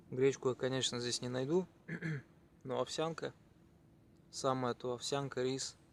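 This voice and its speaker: A quiet man's voice at medium pitch, fairly slow, flat and monotone, with long, frequent pauses. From Chuvashia, Russia. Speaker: cycling traveler vlogger. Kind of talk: travel vlog. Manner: quiet, low-energy.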